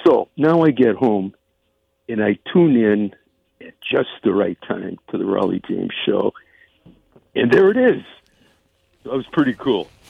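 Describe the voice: A man speaks at a fairly slow pace with long, frequent pauses and big pitch swings. His voice has a slightly husky edge and vocal fry, in a dry, close sound with no echo. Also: fairly low pitch for a man.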